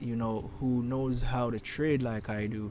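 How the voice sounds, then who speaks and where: Speaking in a Caribbean accent, a man uses a medium pitch and a dark, mellow tone. His pace is fairly slow and his intonation fairly even. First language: Creole. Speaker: forex trading streamer. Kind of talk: live trading stream commentary. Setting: live stream. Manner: halting.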